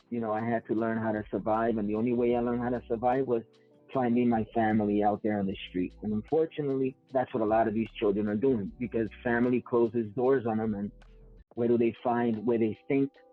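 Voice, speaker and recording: With music in the background, a man in a New York accent speaks at a medium pitch and a fairly quick pace, his intonation monotone and flat. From New York City, South Bronx. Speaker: gang interventionist. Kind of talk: interview.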